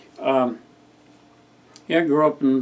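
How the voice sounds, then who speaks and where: A man speaks in a monotone with flat intonation and an American accent. Noticeable background noise can be heard. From California (Sacramento area). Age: 60s. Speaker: vlogger. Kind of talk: casual monologue. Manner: relaxed, rambling.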